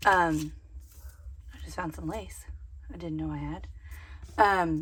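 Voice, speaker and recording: At a fairly slow pace, a woman's loudness swings widely against audible room echo. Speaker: craft content creator. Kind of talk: casual haul video. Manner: casual, hesitant with fillers.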